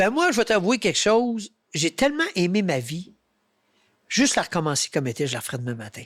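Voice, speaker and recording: A man's high voice at a fairly quick pace, animated, with very wide pitch swings and long, frequent pauses, on a very clean recording with a silent background. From Quebec. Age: 60s. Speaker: hunter and public speaker. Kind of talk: interview conversation.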